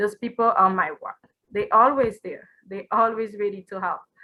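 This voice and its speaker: In a non-native accent, the speaker talks at a moderate pace with fairly even intonation and a bright, sharp tone. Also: woman. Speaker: nursing student, scholarship recipient. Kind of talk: award acceptance speech.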